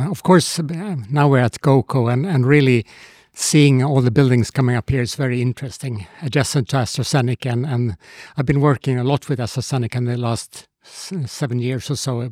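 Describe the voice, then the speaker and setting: A man with a dark, mellow tone speaks at a medium pitch and a fairly quick pace. His pitch varies in an ordinary way, and the sound is dry and close with no echo. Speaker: innovation advisor. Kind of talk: podcast interview. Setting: studio.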